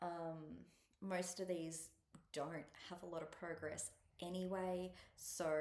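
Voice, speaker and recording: Amid audible room echo, a woman with a fairly low pitch speaks with monotone, flat intonation. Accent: Australian. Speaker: cross-stitch vlogger. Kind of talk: casual chat. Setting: at a relative's house, alone. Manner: soft-spoken; hesitant, many ums. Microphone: laptop mic.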